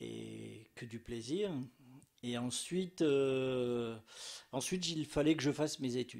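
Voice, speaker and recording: A man talks at a very slow pace with long, frequent pauses. His pitch variation is ordinary. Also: medium pitch for a man. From French Alps (Hautes-Alpes, Barcelonnette). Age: 60s. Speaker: painter and art teacher. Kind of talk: interview. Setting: his painting studio. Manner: hesitant, many fillers.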